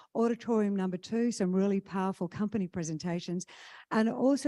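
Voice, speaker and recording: In an Australian accent, a woman speaks very fast at a medium pitch with ordinary pitch variation and a dark, mellow tone. The recording is very clean with a silent background and a dry, close sound with no echo. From Western Australia, Kalgoorlie. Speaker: conference MC. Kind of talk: conference emcee announcements. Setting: stage with audience.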